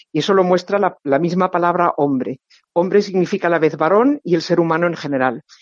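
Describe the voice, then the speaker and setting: An ordinary speaking voice from a woman, fairly low in pitch, at a fairly quick pace with ordinary pitch variation and very even loudness. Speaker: novelist and professor. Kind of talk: interview.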